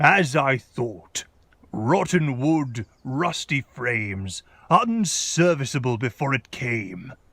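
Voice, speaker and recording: A man puts on a character voice with lively intonation at a very slow pace. The sound is dry and close, with no echo. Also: medium pitch for a man. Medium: machinima. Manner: dry, authoritative.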